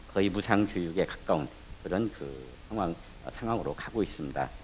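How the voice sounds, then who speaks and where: With music in the background, a man talks in a very deep, low voice. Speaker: professor, panel presenter. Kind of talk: conference presentation. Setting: stage with audience. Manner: halting. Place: meeting room. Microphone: podium.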